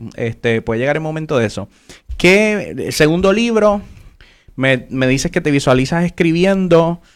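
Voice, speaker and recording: An unremarkable speaking voice from a man, fairly high in pitch, with lively intonation and a fairly slow pace. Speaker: podcast host. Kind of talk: interview. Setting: live stream.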